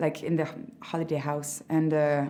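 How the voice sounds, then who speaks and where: In a French accent, a woman speaks at a fairly quick pace, her very deep, low voice dark and mellow in tone. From France. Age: 20s. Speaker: drama school graduate actor. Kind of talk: interview. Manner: halting.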